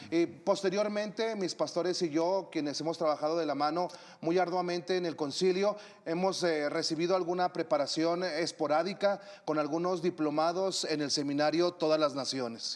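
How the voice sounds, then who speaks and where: Using fairly even intonation, a man with a high pitch talks at a moderate pace. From northern Mexico (Torreón, Coahuila). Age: 40s. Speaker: missionary and preacher. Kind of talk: interview.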